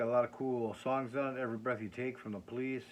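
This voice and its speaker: Someone with a Minnesotan accent talks at a moderate pace. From Minnesota, US Upper Midwest. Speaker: record collector. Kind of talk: casual vlog. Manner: halting, many fillers.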